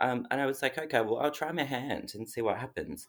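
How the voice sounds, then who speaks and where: A man's medium-pitched voice in an Australian accent, with ordinary pitch variation, in a very clean recording against a silent background. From Australia (Melbourne). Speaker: cake business owner. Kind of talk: casual interview.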